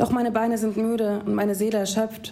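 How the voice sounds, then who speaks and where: At a fairly slow pace, a woman speaks at a medium pitch with audible room echo. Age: 20s. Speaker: poetry slammer. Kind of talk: reading aloud; casual chat.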